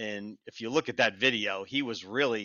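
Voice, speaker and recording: A man speaks with an ordinary speaking voice at a moderate pace. His pitch is medium, and it varies in an ordinary way. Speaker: dirt racing journalist co-host. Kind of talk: casual sports podcast discussion.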